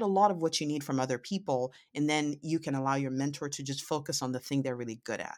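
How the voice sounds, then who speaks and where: A woman talks with a very deep, low pitch. The recording is very clean, with a silent background. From Nigeria. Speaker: physician and professor. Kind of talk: interview. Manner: halting, repeats words.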